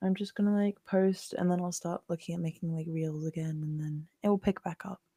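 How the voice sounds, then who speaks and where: A soft-spoken woman's fairly low voice, somewhat breathy and dark and mellow, at a moderate pace with fairly even intonation, in a dry, close sound with no echo. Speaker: podcast co-host, graphic designer. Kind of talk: casual chat. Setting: podcast recording.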